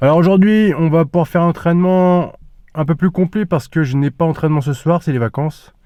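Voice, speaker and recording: The voice has a dark, mellow tone at very even loudness and a fairly quick pace. The sound is dry and close with no echo, on a very clean recording with a silent background. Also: man, high pitch for a man, ordinary pitch variation. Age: 30s. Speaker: fitness vlogger. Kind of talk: casual vlog talk. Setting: gym.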